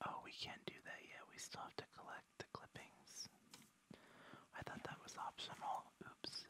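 A man whispers at a moderate pace. His speech has long, frequent pauses. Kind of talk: ASMR gameplay commentary. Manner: whispered, soft.

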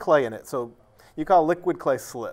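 Lively intonation from a man with an American accent. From New Bedford, Massachusetts; Massachusetts. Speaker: ceramicist and poet; poet. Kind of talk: interview. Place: studio.

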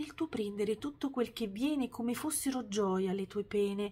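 A woman with a warm tone and a medium pitch speaks somewhat breathily at a fairly slow pace. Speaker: poetry reader. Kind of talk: poetry reading aloud, tender tribute to a father. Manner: measured, lyrical, warm and heartfelt delivery following the rhymes. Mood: tender, reflective. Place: home room. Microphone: phone near.

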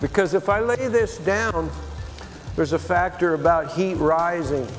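A man at a very slow pace with clear music in the background. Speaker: glass artist demonstrating. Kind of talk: tutorial. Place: bar. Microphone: lapel.

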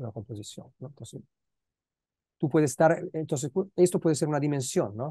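Against a quiet background, a man with a fairly high pitch and a dark, mellow tone speaks at a fairly quick pace, somewhat breathy, with long, frequent pauses. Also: ordinary pitch variation, dry sound with no echo. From Italy, Milan. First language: Italian (speaking Spanish). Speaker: philosopher, guest lecturer; guest lecturer. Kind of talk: academic Q&A discussion mixing Spanish and Italian. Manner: halting, with many repeated words. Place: home room. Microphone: earbuds.

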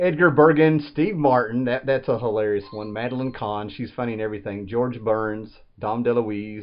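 Here a man talks with a medium pitch. His pace is moderate and his pitch varies in an ordinary way.

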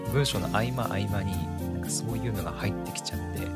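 Loud background noise runs under the voice of a man speaking. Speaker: podcast host. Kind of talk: casual solo podcast talk. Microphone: studio mic.

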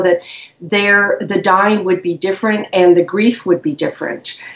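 In a room with audible echo, a woman speaks at medium pitch with fairly even intonation. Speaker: author and grief counselor; interview guest. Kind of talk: interview, personal testimony. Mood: calm, reflective. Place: home room. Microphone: video call.

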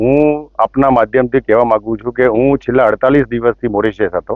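The man's voice has a medium pitch and ordinary pitch variation. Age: 50s. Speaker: businessman. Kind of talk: news interview statement. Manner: formal; halting.

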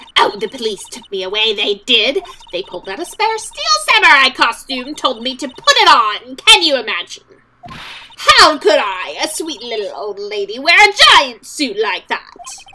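A woman does a put-on character voice, pitched high with very wide swings, at a moderate pace. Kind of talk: comic overacting. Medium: game stream. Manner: indignant, grudge-holding, talkative.

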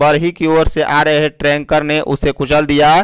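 A man speaks at a moderate pace in a fairly high-pitched voice with a clear, smooth tone.

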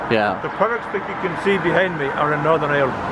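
Loud background noise surrounds a man speaking at a fairly quick pace. His pitch varies in an ordinary way, and the sound is dry with no echo. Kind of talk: interview answer. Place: street. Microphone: phone near.

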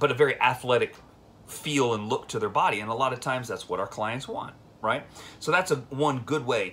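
A man's voice, moving at a moderate pace. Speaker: fitness coach. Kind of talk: casual vlog chat. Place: home room. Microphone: phone near.

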